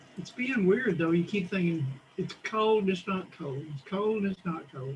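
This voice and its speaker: With an American accent, the speaker goes at a fairly slow pace against noticeable background noise. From Texas, Dallas. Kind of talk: casual chat.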